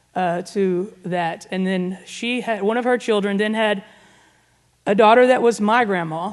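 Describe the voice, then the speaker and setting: A woman's medium-pitched voice with an Arkansas accent, fairly even intonation and a fairly slow pace. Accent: Southern US (Arkansas). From US South, Northwest Arkansas. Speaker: guest speaker. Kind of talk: testimony. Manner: casual, conversational.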